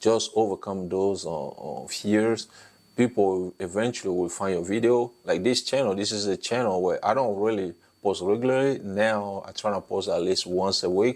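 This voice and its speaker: A man with a non-native accent speaks at a fairly low pitch and a moderate pace. The background is quiet. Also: ordinary pitch variation. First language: French and an African language. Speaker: YouTube content creation coach. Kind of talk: tutorial. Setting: talking head video. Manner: hesitant, many fillers.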